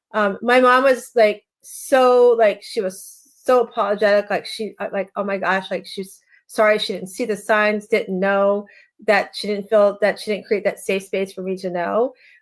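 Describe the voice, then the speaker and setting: A woman talks at a moderate pace and medium pitch in an ordinary speaking voice. Her intonation is fairly even, and the recording is very clean with a silent background. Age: 60s. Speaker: life coach and author. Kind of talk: interview testimony. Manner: conversational, with frequent fillers.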